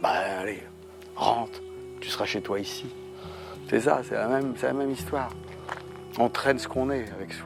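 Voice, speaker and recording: Music plays in the background as a man talks at a medium pitch with lively intonation. Long, frequent pauses break up his speech. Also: moderate pace. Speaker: storyteller. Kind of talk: documentary conversation. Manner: casual, hesitant.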